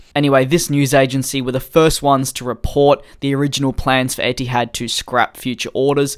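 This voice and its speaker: In an Australian accent, the speech moves at a moderate speed. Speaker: aviation news youtuber. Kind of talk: scripted news commentary.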